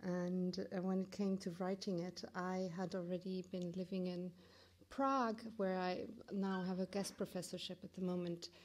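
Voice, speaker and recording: This woman's voice is somewhat breathy and medium in pitch, moving at a moderate pace. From Germany. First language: German. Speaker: curator and professor. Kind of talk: lecture. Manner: halting, many fillers and restarts.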